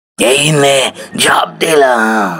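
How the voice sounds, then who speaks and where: A man speaks in a cartoonish character voice. It is raspy and medium in pitch. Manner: rough, familiar address.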